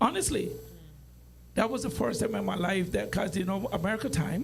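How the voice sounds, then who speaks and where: Amid noticeable background noise and audible room echo, a high-pitched man talks at a fairly quick pace with ordinary pitch variation. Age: 80s+. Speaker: podcast guest. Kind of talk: casual chat.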